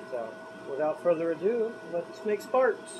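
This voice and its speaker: A man speaks at a moderate pace. Noticeable noise runs in the background, and his pitch varies in an ordinary way. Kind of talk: casual workshop vlog chat. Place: workshop.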